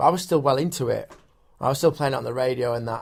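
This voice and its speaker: This man speaks at a medium pitch with a somewhat breathy voice. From northern England, Sheffield. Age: 30s. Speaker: music producer, DJ and radio broadcaster. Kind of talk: casual interview chat. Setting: studio. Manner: animated.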